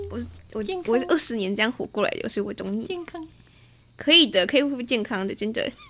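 Music plays in the background as a woman speaks at a very fast pace with a fairly high pitch. Her intonation is lively, broken by long, frequent pauses. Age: 20s. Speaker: spiritual teacher. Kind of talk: casual chat.

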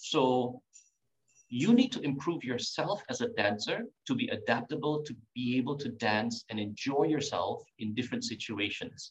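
At a moderate pace, a somewhat breathy voice carries lively intonation. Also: man, medium pitch for a man. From Singapore. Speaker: tango teacher. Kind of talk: casual interview.

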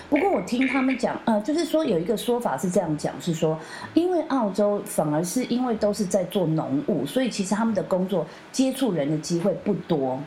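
A woman's medium-pitched voice at a moderate pace, very wide pitch swings, noticeable background noise. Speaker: podcast host. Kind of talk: casual chat.

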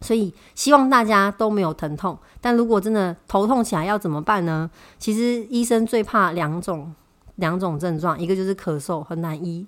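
A woman speaks with a Taiwanese accent at a moderate pace and medium pitch. Her pitch variation is ordinary, and the recording is very clean with a silent background. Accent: Taiwanese Mandarin. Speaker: health podcast host. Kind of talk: solo podcast talk on health.

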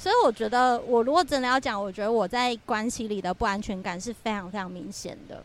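A woman with a fairly high pitch and ordinary pitch variation speaks at a fairly quick pace with hardly any pauses, in a plain, everyday voice. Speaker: podcast co-host. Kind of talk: casual chat. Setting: windy rooftop balcony at her home.

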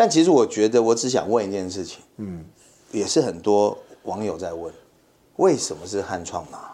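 With a fairly low pitch and a dark, mellow tone, a man speaks with lively intonation, big swings in loudness, and long, frequent pauses. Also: moderate pace. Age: middle-aged. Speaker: podcast co-host, sports marketing executive. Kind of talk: casual chat.

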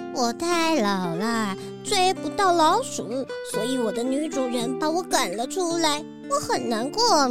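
Over loud background music, a high-pitched, put-on character voice speaks at a fairly slow pace. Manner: weak and listless.

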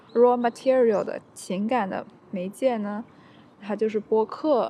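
Her pitch is fairly high for a woman. She uses ordinary pitch variation. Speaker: podcast host. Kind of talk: solo monologue. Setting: outdoors in a park. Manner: energetic, upbeat.

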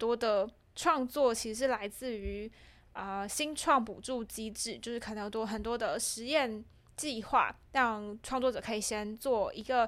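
This woman has a fairly high pitch and ordinary pitch variation, speaking at a fairly slow pace. The recording is very clean, with a silent background. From Taiwan, Changhua. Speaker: theatre practitioner and podcast creator. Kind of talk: casual chat. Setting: small office. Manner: laughs often.

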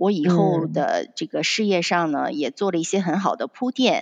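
A woman speaks at a medium pitch with lively intonation and a moderate pace, an ordinary speaking voice. The sound is dry and close, with no echo. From Shandong, China. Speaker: fashion designer. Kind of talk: interview.

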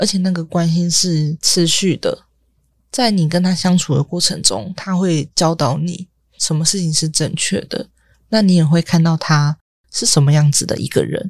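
A woman speaks at a moderate pace with a fairly low pitch and ordinary pitch variation. Her voice is somewhat breathy, and the sound is dry and close with no echo. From Taiwan. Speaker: former foster-home resident, product designer. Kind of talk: interview.

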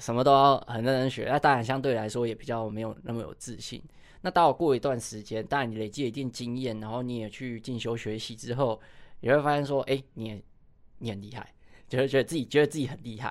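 Over a very clean recording with a silent background, a man speaks at a very fast pace in a medium pitch with fairly even intonation. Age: 30s. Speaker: running coach. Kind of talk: interview.

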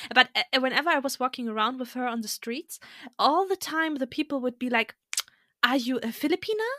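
Raised and projected, a woman's high voice has a bright, sharp tone and lively intonation at a fairly quick pace, in a dry, close sound with no echo. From Germany. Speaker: podcast guest. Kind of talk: casual chat. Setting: remote recording.

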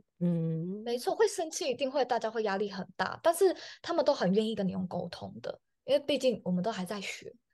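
With a Taiwanese accent, a woman speaks in an energetic tone at a fairly quick pace, her fairly high pitch swinging very widely over a quiet background. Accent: Taiwanese Mandarin. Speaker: chef. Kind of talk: interview.

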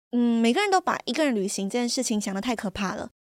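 In a dry, close sound with no echo, a woman speaks at a fairly quick pace. Her high voice swings very widely in pitch. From Malaysia. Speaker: podcast host. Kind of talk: casual monologue.

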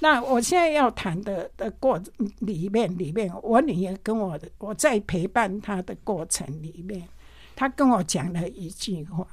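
A woman speaks at a fairly slow pace and a medium pitch. Her intonation is lively and her loudness swings widely. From Taiwan, Pingtung. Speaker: retired nurse supervisor, volunteer. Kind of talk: testimony. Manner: halting.

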